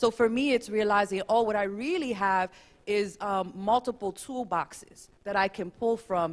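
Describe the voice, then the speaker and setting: A woman talks at a medium pitch with ordinary pitch variation. It is an ordinary speaking voice. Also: moderate pace. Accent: American. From US, Dominican family. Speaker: panelist. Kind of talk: panel discussion.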